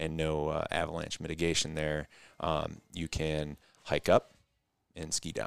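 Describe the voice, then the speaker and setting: A man with a very deep, low pitch speaks in a flat monotone at a fairly slow pace, leaving long, frequent pauses. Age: 30s. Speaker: physical therapist. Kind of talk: casual chat. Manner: hesitant, many fillers.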